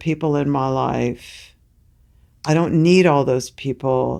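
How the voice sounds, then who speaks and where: The intonation is fairly even, on a very clean recording with a silent background. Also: woman. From Tennessee, Knoxville. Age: 60s. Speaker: singer. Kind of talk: interview conversation.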